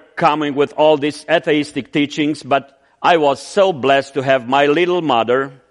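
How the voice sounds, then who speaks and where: At a fairly slow pace, a man with a Romanian accent talks in a fairly high pitch with fairly even intonation. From Romania (Transylvania). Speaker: missionary. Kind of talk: sermon. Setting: church.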